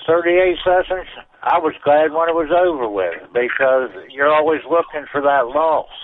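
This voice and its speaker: A man's plain, everyday voice, fairly high in pitch, with ordinary pitch variation, very even loudness and a fairly slow pace. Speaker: caller. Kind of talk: casual chat. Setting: phone call.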